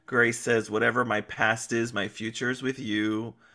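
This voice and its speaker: In a very clean recording with a silent background, a man speaks at a moderate pace with a bright, sharp tone, an animated delivery and medium pitch. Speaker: guest co-host, podcast. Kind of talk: casual chat recapping a soap opera. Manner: animated, laughs often.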